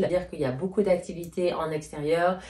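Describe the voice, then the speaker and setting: This woman has a slight Swiss French accent. She speaks at a fairly quick pace with fairly low pitch. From Switzerland, Geneva. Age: 30s. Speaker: YouTuber. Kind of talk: casual Q&A chat.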